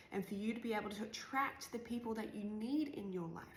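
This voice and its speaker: The tone is animated, with ordinary pitch variation at a moderate pace. Audible room echo and noticeable background noise come through. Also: woman. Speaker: life coach. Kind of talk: personal vlog monologue. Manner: casual, animated.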